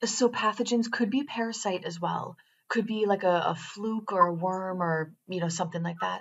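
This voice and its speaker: Speaking at a moderate pace, a woman uses an ordinary speaking voice with a medium pitch and ordinary pitch variation. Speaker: quantum biofeedback trainer. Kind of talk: tutorial.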